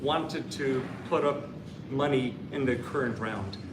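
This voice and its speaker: In an Irish accent, a man speaks at a very slow pace amid noticeable background noise and audible room echo. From Ireland. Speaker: startup investor, panelist. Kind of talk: panel discussion.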